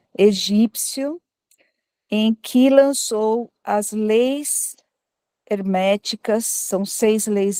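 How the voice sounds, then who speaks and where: Quiet and dark, a woman's mellow voice sits at a fairly high pitch with ordinary pitch variation. She speaks at a very slow pace, and the sound is dry and close with no echo. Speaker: audience participant at spiritist talk. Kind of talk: group discussion comment. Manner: speaking quietly.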